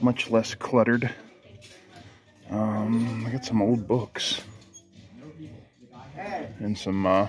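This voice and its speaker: A man speaks over faint music in the background. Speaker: toy hunting vlogger. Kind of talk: casual vlog chat. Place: shop. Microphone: phone near.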